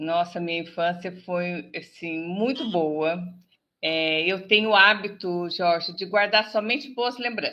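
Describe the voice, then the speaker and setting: In an ordinary speaking voice, a woman talks at a fairly slow pace with medium pitch and ordinary pitch variation. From Brazil, interior of São Paulo state (Pindamonhangaba). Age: 60s. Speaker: business advisor and TV presenter. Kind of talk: interview.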